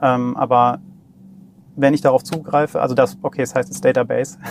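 A man rattles along at a very fast pace, his pitch medium. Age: 40s. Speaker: startup CTO and software developer. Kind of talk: casual technical interview. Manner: hesitant, many filler sounds.

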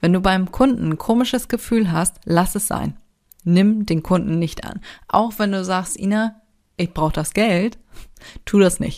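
Pausing long and often, a woman speaks at a fairly slow pace in a medium pitch with ordinary pitch variation. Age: 30s. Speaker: podcast host, self-employed creative. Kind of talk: casual solo monologue with tips. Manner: animated, colloquial.

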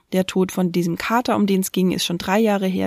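A woman with a normal speaking voice and a fairly low pitch talks at a moderate pace and with fairly even intonation, in a dry, close sound with no echo and a very clean recording with a silent background. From Brandenburg, eastern Germany. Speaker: podcast host and funeral celebrant. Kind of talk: solo podcast monologue.

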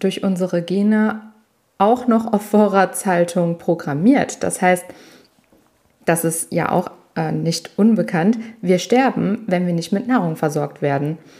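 Pausing long and often, a woman speaks very slowly at a medium pitch with ordinary pitch variation. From Italian family background. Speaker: personal trainer and podcast host. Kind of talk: solo podcast monologue. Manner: casual, conversational.

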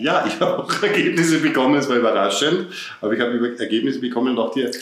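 A man's fairly quick speech carries audible room echo and noticeable background noise. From Upper Austria. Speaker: podcast co-host. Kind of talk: casual chat.

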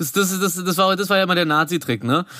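A man speaks in a high voice with a bright, sharp tone. His pace is fairly quick and his pitch varies in an ordinary way. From Berlin, Germany. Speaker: podcast co-host. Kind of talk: casual chat.

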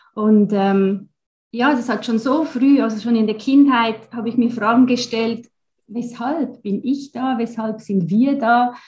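Speaking at a very slow pace, a woman uses a fairly high pitch. Her intonation stays fairly even. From Switzerland (German-speaking). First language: Swiss German (speaking German). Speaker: astrologer. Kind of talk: interview.

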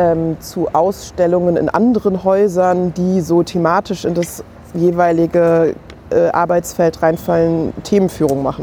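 This is an unremarkable speaking voice. It moves at a fairly slow pace with fairly even intonation. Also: woman. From Germany. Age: 30s. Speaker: museum curator. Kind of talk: casual chat. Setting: kiosk.

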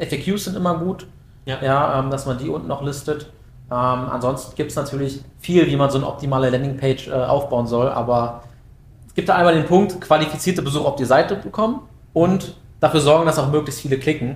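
A man with a normal speaking voice, fairly high in pitch, with ordinary pitch variation and a fairly quick pace. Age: 20s. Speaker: SEO project manager. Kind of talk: casual expert interview.

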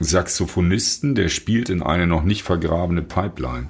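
A man with a very deep, low pitch speaks at a moderate pace with ordinary pitch variation, over noticeable background noise. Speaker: rock musician. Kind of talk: casual interview chat.

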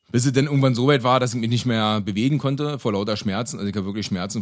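Speaking very fast, this man's pitch varies in an ordinary way. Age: 30s. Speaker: vegan cook and road construction master. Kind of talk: casual interview. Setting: in person.

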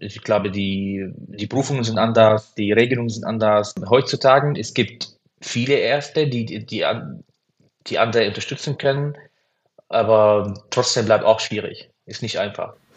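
With an Arabic accent, a man of medium pitch talks at a moderate pace with ordinary pitch variation and big swings in loudness. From Syria. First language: Arabic (speaking German). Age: 30s. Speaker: cardiologist. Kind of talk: interview. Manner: halting.

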